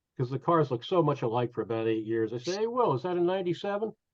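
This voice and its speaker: A man talks at a very fast pace and a fairly high pitch, his voice making very wide pitch swings. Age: 60s. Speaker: baseball fan, former car dealer. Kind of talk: anecdote storytelling. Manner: animated.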